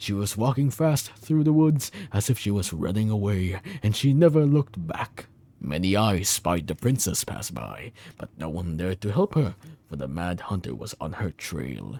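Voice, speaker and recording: A man uses a put-on character voice with a fairly low pitch. He speaks at a moderate pace. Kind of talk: bedtime story reading. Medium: game stream. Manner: stumbling, self-correcting.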